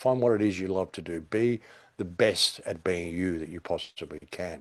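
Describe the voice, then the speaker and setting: Very deep and low, a man's voice with an Australian accent moves at a moderate pace with ordinary pitch variation. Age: 60s. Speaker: conspiracy commentator. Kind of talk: podcast interview. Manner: animated.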